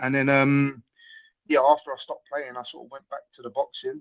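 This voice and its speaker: With fairly even intonation, a man talks at a moderate pace in a fairly high pitch, the sound dry and close with no echo. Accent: London. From London, Tottenham. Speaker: mixed martial arts fighter. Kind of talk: interview. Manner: casual, hesitant with fillers.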